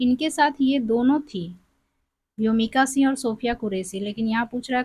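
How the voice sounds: A woman's fairly high voice with a slightly husky edge, a slightly mellow tone, ordinary pitch variation and a moderate pace.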